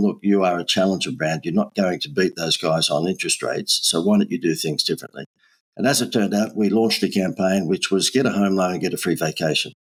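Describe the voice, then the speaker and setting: Delivered at a very fast pace with an Australian accent, the speech shows ordinary pitch variation. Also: man, fairly low pitch for a man. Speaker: marketing agency owner. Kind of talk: podcast interview. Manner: animated.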